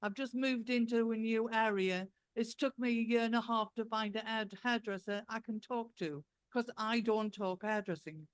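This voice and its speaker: Her pitch is fairly high, and she varies it in an ordinary way at a moderate pace. The sound is dry and close, with no echo. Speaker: professor. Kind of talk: conference panel talk. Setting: conference hall.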